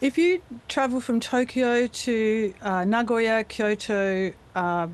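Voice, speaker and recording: An Australian accent with lively intonation. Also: woman. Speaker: voice actor. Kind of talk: interview answer. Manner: casual, chatty.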